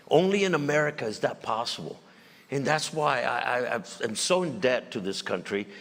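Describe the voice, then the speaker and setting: Lively intonation from a man at a moderate pace, with noticeable background noise. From Mexico. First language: Spanish. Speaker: former police chief and general, state official. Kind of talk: on-stage interview. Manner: halting, repeats words.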